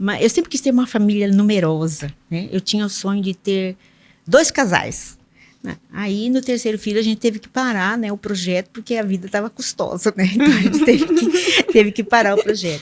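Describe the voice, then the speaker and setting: Lively intonation and a somewhat breathy quality mark this voice at a moderate pace. Its loudness swings widely. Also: woman, medium pitch for a woman. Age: 60s. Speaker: public sector auditor, engineer. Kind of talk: podcast interview. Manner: halting, many fillers and repetitions.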